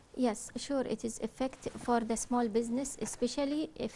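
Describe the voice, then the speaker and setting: In a Kuwaiti accent, a woman with a high pitch and a dark, mellow tone speaks at a moderate pace with fairly even intonation. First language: Arabic. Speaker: business consultant. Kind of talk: TV interview. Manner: halting.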